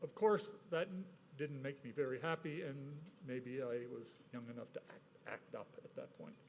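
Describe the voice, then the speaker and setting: This man speaks at a moderate pace. His intonation is lively. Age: 70s. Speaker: award recipient. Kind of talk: acceptance speech. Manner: halting.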